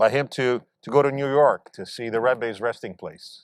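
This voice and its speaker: In a normal speaking voice, a man talks at a mid-range pitch, his pitch rising and falling by ordinary amounts. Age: 60s. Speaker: mayor. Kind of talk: ceremonial speech. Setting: outdoors.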